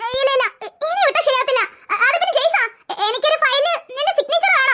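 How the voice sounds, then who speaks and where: A squeaky, cartoonish character voice from a woman, extremely high in pitch, with lively intonation, very even loudness and a moderate pace. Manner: brisk, scolding.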